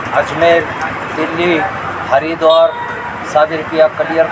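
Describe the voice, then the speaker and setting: A man talks in a high pitch with monotone, flat intonation. Noticeable background noise runs beneath him. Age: 60s. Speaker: rickshaw driver on a cycling journey. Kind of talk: news interview.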